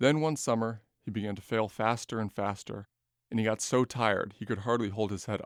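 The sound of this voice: This unforced reading voice keeps a fairly even intonation against a quiet background.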